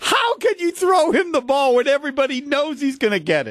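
An extremely high-pitched male voice with lively intonation and a moderate pace, over noticeable background noise. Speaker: sports radio host. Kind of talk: casual radio interview.

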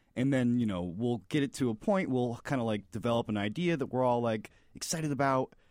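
On a very clean recording with a silent background, a man with an American accent talks at a fairly quick pace in an ordinary speaking voice with ordinary pitch variation. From Florida. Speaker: comedy filmmaker. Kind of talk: casual chat.

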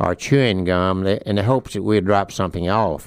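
Man with a Mississippi accent and a fairly low pitch. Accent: Mississippi Southern drawl. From US South, northeast Mississippi. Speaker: war veteran. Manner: chuckling warmly at old memories.

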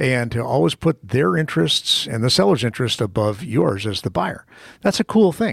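A somewhat breathy male voice at medium pitch, moderate in pace, with very wide pitch swings. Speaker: radio host. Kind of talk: radio host patter. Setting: radio studio. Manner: chatty, lively, banter-heavy.

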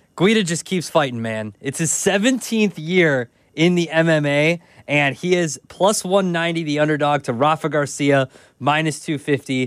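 This man has an ordinary speaking voice, fairly high in pitch with ordinary pitch variation. He talks at a moderate pace on a very clean recording with a silent background. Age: 30s. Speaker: sports betting podcast host. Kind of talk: casual chat.

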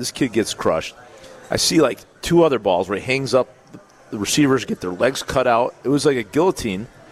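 A man with a medium pitch talks at a fairly quick pace with lively intonation. There is noticeable background noise. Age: 40s. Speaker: former college football player, radio co-host. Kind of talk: live sports talk radio. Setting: live broadcast from a pub.

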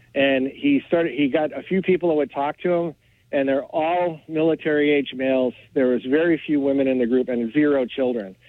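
At a moderate pace, a man with a normal speaking voice talks at a fairly high pitch with fairly even intonation. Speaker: caller, salesman. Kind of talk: call-in opinion. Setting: phone call.

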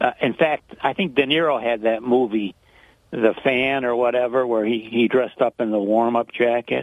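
A man talks in a plain, everyday voice with fairly even intonation. His pitch sits in the medium range, and his pace is moderate. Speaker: caller. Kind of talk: casual talk radio call. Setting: phone call.

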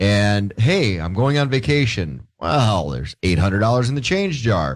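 Here a man has an ordinary speaking voice. He talks at a moderate pace with lively intonation. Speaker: radio co-host. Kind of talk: casual radio banter. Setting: studio.

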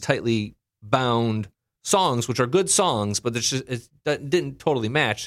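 Lively intonation and a fairly quick pace from a man with a normal speaking voice at medium pitch, on a very clean recording with a silent background. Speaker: podcast co-host commentator. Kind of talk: casual chat.

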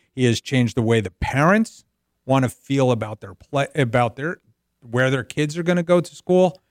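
At a moderate pace, a man with a medium pitch and an American accent makes very wide pitch swings, the sound dry and close with no echo on a very clean recording with a silent background. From US Northeast, North Jersey. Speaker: business advisory CEO. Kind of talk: radio sports talk interview. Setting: radio show.

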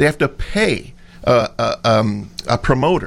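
A man with an American accent talks with vocal fry. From US Midwest (Brazil, Indiana). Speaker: union president, trumpet player. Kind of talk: radio interview.

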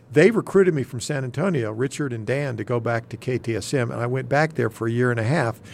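With an American accent, a man talks at a very fast pace, his medium-pitched voice showing ordinary pitch variation. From Texas Panhandle. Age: 60s. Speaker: retiring TV general manager. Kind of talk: casual radio interview. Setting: studio.

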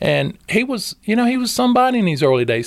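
Speaking at a fairly quick pace with a North Carolina accent, a man lets his pitch swing very widely. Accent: US South, North Carolina. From Moore County, North Carolina (Robbins). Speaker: homeless charity director. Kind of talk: podcast interview. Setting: studio.

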